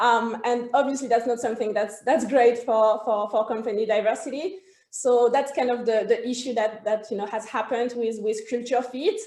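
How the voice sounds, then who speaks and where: In a French accent, a woman with a high pitch and a dark, mellow tone speaks at a moderate pace with fairly even intonation and hardly any pauses. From France. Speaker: HR consultancy co-founder. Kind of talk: interview. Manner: hesitant, many fillers.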